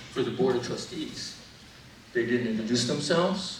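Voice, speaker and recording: Noticeable background noise and audible room echo surround the recording. A man speaks at a moderate pace. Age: 70s. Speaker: physician and medical researcher. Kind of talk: public testimony speech.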